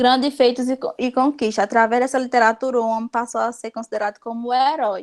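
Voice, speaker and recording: A woman's high-pitched, monotone, flat delivery at a fairly quick pace. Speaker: teacher. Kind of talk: lecture.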